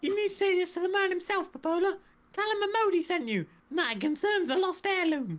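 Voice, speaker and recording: In a put-on character voice, a female-sounding speaker chatters at a very fast pace, squeaky and at an extremely high pitch for a woman. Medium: game stream.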